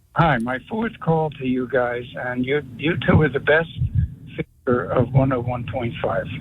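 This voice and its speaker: A man with a medium pitch talks at a fairly slow pace, his pitch varying in an ordinary way, as noticeable noise sounds behind him. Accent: American. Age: 70s. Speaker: caller. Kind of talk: radio call-in anecdote.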